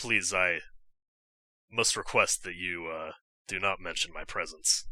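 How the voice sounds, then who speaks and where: Using a put-on character voice in a raspy tone, a man speaks at a very deep, low pitch with fairly even intonation and a moderate pace. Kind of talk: formal courtly speech. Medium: actual play. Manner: polite, flustered, formal.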